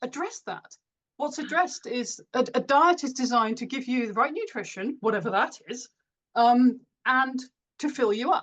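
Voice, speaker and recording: Talking at a moderate pace, a woman uses a high pitch with ordinary pitch variation. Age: 50s. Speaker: author. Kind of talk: interview.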